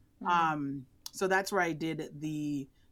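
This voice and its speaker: A woman with an unremarkable speaking voice and ordinary pitch variation is heard on a very clean recording with a silent background. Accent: American. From New York, the Bronx. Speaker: orthopedic surgeon and professor. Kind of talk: interview.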